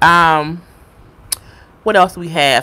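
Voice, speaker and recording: This woman has a bright, sharp tone and an American accent. Her pitch is fairly low and her intonation fairly even. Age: 30s. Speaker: YouTuber. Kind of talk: live stream chat. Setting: live stream. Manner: fast.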